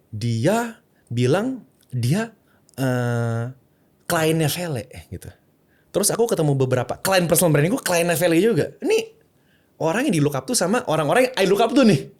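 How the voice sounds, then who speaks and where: A man talks with a high pitch. His voice swings very widely in pitch. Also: moderate pace. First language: English (speaking Indonesian). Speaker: content creator and personal branding consultant. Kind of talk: podcast interview. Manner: mixes English and Indonesian freely.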